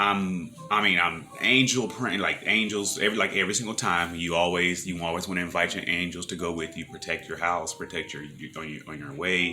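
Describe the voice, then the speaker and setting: A man's very deep, low voice at a fairly quick pace with hardly any pauses, big swings in loudness and ordinary pitch variation, over noticeable background noise. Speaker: vlogger and personal trainer. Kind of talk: casual monologue vlog. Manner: halting, many repetitions and fillers.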